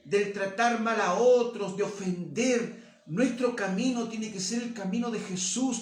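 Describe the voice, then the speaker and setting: Someone speaks at a fairly slow pace with fairly even intonation, audible room echo and noticeable background noise. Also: man, high pitch for a man. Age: 60s. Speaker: pastor. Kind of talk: sermon.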